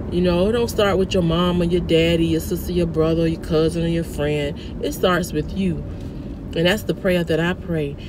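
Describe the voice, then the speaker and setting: A woman's fairly low voice with fairly even intonation, dry with no echo, over noticeable background noise. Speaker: vlogger. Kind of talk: casual vlog chat with preaching tone. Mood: earnest, spiritual. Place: car. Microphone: phone near.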